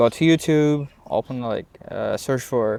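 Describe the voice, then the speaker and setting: A man with a non-native accent talks at a fairly slow pace with fairly even intonation. The recording is very clean, with a silent background. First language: Russian. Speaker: language learning vlogger. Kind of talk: unscripted talk to camera. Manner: halting, many fillers and repetitions.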